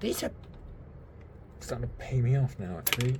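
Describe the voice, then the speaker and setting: A soft-spoken man talks at a moderate pace with lively intonation. Noticeable background noise runs underneath. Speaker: miniature hobby youtuber. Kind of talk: casual build tutorial. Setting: home at night, quiet. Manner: quiet, soft-spoken.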